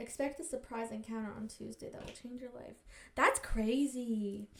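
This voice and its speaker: Speaking in an American accent, this woman's tone is animated. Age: 20s. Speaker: podcast host. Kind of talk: casual chat. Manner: fast.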